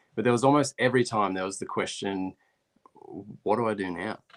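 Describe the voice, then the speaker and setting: Over a quiet background, a man of medium pitch speaks very fast with an Australian accent and fairly even intonation. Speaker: recording engineer and producer. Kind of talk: live stream interview. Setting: live video stream.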